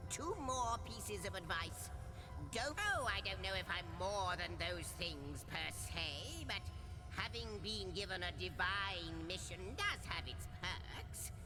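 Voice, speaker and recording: A female-sounding voice in a put-on character voice speaks at a fairly slow pace over loud background noise. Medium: game stream. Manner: wordy, playful, a bit fussy.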